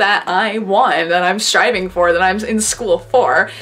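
A woman speaks at a fairly slow pace, her intonation lively. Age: 20s. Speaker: YouTuber and artist; YouTuber. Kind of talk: casual vlog monologue. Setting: bedroom at home, filming to camera. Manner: frequent laughter. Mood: reflective, warm, sometimes playful. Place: home room. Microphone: webcam.

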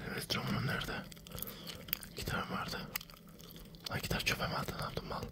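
Whispering at a fairly quick pace, the speaker leaves long, frequent pauses. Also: man. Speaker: gamer. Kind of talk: casual gaming commentary. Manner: whispered, ASMR-style. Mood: joking, mildly exasperated.

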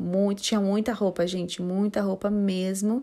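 Fairly even intonation and a fairly slow pace in an ordinary speaking voice. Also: woman. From São José dos Campos, São Paulo state, Brazil. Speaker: YouTuber / vlogger. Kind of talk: vlog tour narration. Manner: casual, chatty.

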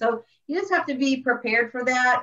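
Speaking at a moderate pace, a woman with an American accent uses a normal speaking voice and ordinary pitch variation. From Orlando, Florida. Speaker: tour relations manager. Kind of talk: panel discussion.

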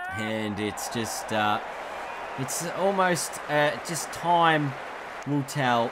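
A man is heard over noticeable background noise. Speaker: gaming video creator and commentator. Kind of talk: cricket commentary over game highlights. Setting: voiceover recorded over game footage. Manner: rising urgency at wickets, dramatic.

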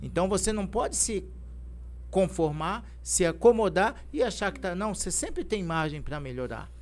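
The man talks at a moderate pace. His loudness swings widely. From São Paulo state interior (Ibitinga), born in Maceió; São Paulo state, Brazil. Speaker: football club president, former player; guest. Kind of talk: interview. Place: studio. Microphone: studio mic.

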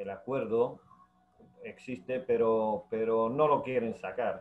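The speaker is a man. He keeps a fairly even intonation. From Ceuta. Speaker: municipal worker and union member; guest. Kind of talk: interview. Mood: indignant, complaining. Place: home room. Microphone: video call.

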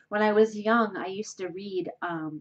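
A woman talks with an American accent. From New England, US. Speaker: professor. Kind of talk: casual self-introduction video. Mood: warm, playful. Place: home room. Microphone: webcam.

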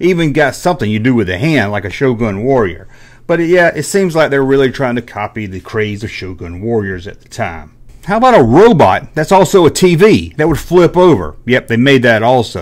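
Against a quiet background, a man with a rural Southern US accent talks at a moderate pace, his pitch swinging very widely and his loudness rising and falling a lot. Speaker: YouTuber, toy collector. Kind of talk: casual monologue. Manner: animated. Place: home room. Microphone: studio mic.

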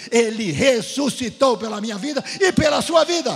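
A man speaks here. His pace is fairly slow. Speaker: guest preacher. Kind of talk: sermon. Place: church. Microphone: handheld.

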